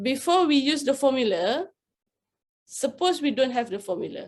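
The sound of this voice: Big pitch swings run through this moderately paced delivery with a slightly mellow tone. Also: woman, high pitch for a woman.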